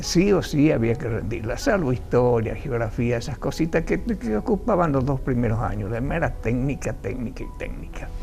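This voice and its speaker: A man with a medium-pitched voice and lively intonation talks with hardly any pauses over noticeable background noise, and the room echo is audible. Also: moderate pace. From Argentina, Tucumán. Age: 80s+. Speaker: retired agronomist. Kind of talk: interview. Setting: studio.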